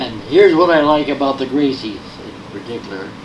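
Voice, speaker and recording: The speech moves at a moderate pace with ordinary pitch variation, set against noticeable background noise and audible room echo. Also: man. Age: 80s+. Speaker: martial arts grandmaster. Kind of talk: seminar talk. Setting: seminar with audience. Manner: halting.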